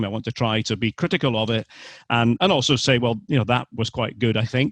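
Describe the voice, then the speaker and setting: A man with a Scottish accent talks at a fairly quick pace in a medium pitch with ordinary pitch variation, the sound dry and close with no echo against a quiet background. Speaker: sports commentator. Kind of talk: interview answer. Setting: remote call.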